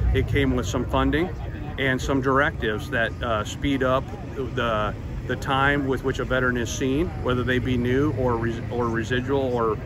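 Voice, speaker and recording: Medium-pitched male voice, fairly even in intonation, dry with no echo, over noticeable background noise. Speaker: VA health system administrator and army veteran. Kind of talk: interview. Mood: earnest, measured. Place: street. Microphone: phone near.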